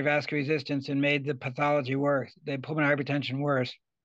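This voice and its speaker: A man talks with an American accent at a fairly high pitch. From Rhode Island, US. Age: 70s. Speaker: retiring anesthesiologist. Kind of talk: casual interview, reminiscing.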